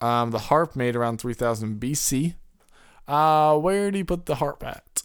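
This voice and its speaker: On a very clean recording with a silent background, a man with an ordinary speaking voice talks at a moderate pace in a fairly high pitch. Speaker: podcast co-host. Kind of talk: casual chat.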